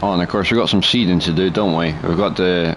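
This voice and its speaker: Over noticeable background noise, a man speaks in a very deep, low pitch with fairly even intonation. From Scotland. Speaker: gaming streamer. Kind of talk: live gameplay commentary. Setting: live stream. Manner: casual, chatty.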